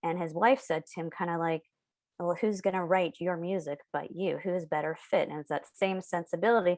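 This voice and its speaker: The woman's voice is fairly low in pitch. Her intonation stays fairly even. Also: moderate pace. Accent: West Coast. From San Diego, California. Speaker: children's book author and illustrator. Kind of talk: podcast interview.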